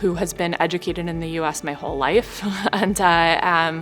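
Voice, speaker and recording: A woman with an American accent, a fairly low pitch and a moderate pace, over music in the background. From St. Louis, Missouri, US. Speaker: executive MBA student. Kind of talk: interview answer. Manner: casual, conversational.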